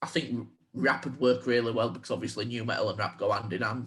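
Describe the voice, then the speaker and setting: A man with a strong Yorkshire accent speaks at a moderate pace, his medium-pitched voice somewhat breathy. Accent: thick Yorkshire. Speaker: podcast co-host. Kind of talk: casual chat.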